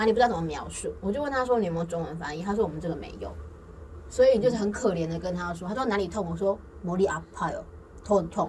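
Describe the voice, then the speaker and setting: Audible room echo around a woman at a medium pitch, very fast, with ordinary pitch variation. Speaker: podcast host. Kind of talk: casual chat.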